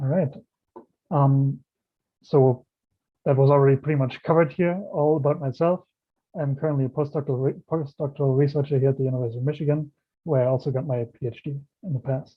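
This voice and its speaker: A man speaks at a very fast pace with a German accent and a fairly high pitch. His intonation is fairly even, broken by long, frequent pauses. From Germany. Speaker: planetary scientist. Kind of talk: lecture.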